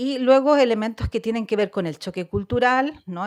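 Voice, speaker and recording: The speaker uses a moderate pace and ordinary pitch variation in a Chilean accent. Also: woman. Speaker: social worker and researcher. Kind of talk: research presentation. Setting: conference panel with audience.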